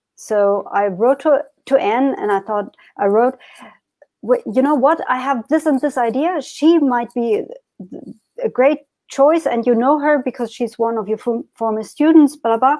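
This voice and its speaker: In a German accent, a woman with a dark, mellow tone and high pitch speaks at a moderate pace with lively intonation. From Germany, Berlin. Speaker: harpist and magazine editor. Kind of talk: interview. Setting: live online stream. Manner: halting.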